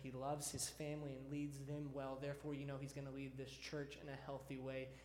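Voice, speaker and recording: With an American accent, a man speaks at a fairly quick pace and fairly high pitch, somewhat breathy and in a monotone, flat intonation. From Texas (Deer Park, near Houston). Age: 30s. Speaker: student pastor. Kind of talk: sermon. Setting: church.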